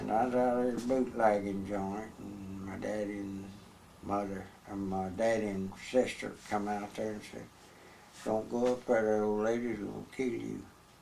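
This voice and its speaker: A man in monotone, flat intonation, with audible room echo and noticeable background noise. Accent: Texas. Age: 80s+. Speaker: former bootlegger. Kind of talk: oral history interview. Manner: halting.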